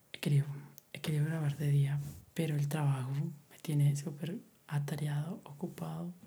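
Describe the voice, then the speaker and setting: A soft-spoken man talks at a moderate pace with a fairly high pitch. His tone is dark and mellow, somewhat breathy, with fairly even intonation. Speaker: ASMR YouTuber. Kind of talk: soft-spoken ASMR monologue. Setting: home recording at night. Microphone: far from the mic.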